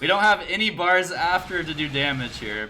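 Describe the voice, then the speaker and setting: Music plays in the background as the voice moves through very wide pitch swings. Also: man. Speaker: gaming YouTuber. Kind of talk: gameplay commentary. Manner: animated.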